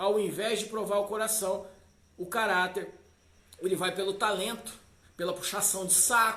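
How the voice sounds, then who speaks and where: A man speaks in a high pitch with a raised, projected voice. Audible room echo surrounds him. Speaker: pastor. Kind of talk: sermon. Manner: animated.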